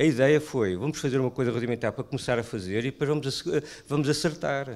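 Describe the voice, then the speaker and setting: Recorded very cleanly against a silent background, a man talks at a fairly high pitch with ordinary pitch variation. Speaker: primary care doctor. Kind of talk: panel discussion. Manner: halting.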